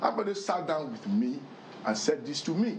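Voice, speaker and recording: This man's pitch makes very wide swings, and noticeable background noise can be heard. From Nigeria, Lagos Island. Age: 50s. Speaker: political commentator. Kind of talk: TV interview. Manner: animated.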